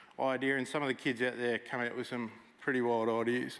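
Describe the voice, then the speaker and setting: This man moves along at a fairly quick pace. He speaks in an Australian accent. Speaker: military veteran and gamer presenter. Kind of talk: conference talk. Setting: stage with audience. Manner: loud; casual, interactive.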